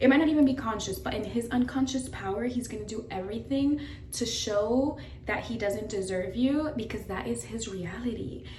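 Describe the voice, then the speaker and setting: Amid noticeable background noise and audible room echo, a woman with an American accent speaks at a fairly quick pace and fairly high pitch, with ordinary pitch variation. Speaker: lifestyle vlogger. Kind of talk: casual get-ready-with-me vlog. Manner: fast; animated.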